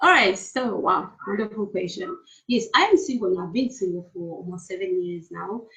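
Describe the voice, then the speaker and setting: A woman with a Malawian accent, a moderate pace, medium pitch, and ordinary pitch variation. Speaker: therapist and entrepreneur. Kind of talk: interview.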